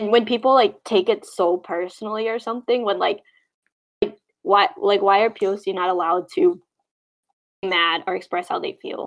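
A woman speaks in an ordinary speaking voice, her pitch fairly high and her pace moderate. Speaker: podcast guest, adoptee advocate. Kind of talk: casual chat.

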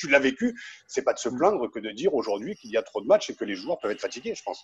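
A man talking at a very fast pace with a southern French accent and very wide pitch swings. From Picardy. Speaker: podcast host. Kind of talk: interview.

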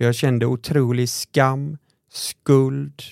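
The tone is dark and mellow, the intonation fairly even, and the sound dry and close with no echo. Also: man. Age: 30s. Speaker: podcast host, nonprofit founder. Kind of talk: casual chat.

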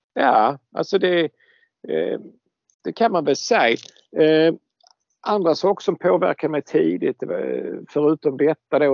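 A man's pitch swings very widely as he speaks at a fairly slow pace. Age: 60s. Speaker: scale model expert. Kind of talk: casual chat.

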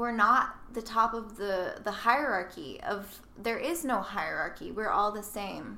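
With an American accent and vocal fry, a woman with a bright, sharp tone and fairly high pitch speaks at a very slow pace with ordinary pitch variation amid audible room echo. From US South, Nashville, Tennessee. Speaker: model and sustainability blogger. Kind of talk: casual interview. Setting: in person, Brooklyn.

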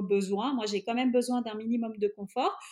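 In a very clean recording with a silent background, a woman speaks. Her voice is high, and her pace is moderate. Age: 30s. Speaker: traveling mother. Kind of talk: interview. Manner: hesitant with fillers.

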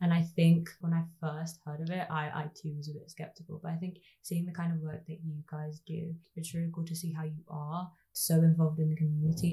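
A woman with a Birmingham accent talks at a fairly quick pace in a dark, mellow, somewhat breathy tone, her fairly low pitch held in monotone, flat intonation. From Birmingham, England (Ladywood). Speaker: podcast interviewer. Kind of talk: interview.

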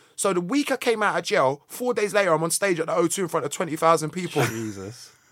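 A high-pitched man with a South London accent at a fairly quick pace, in a very clean recording with a silent background. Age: 40s. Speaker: musician. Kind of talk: casual chat.

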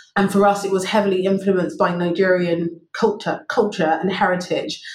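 Somewhat breathy, a woman with a London accent talks at a moderate pace in a fairly even intonation. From London (Wimbledon), England. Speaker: finance executive. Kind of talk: interview. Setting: remote call.

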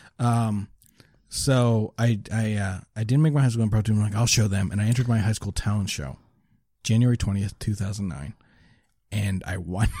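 On a very clean recording with a silent background, a man with a fairly low, somewhat breathy voice and a dark, mellow tone speaks at a moderate pace with ordinary pitch variation. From Nova Scotia, Canada (Lower Sackville). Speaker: stand-up comedian. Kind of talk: casual chat.

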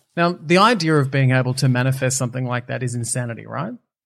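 With an Australian accent, a man talks at a fairly quick pace, his medium pitch showing ordinary variation. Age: 40s. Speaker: TV and radio presenter, reality show winner. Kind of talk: casual interview chat.

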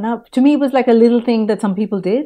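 Over a quiet background, a woman has a normal speaking voice, a fairly high pitch, and ordinary pitch variation. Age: 40s. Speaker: podcaster, former advertising professional. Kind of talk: interview.

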